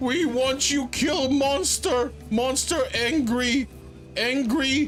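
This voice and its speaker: Over clear music in the background, a put-on character voice speaks at a high pitch and a very slow pace. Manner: scared, urgent.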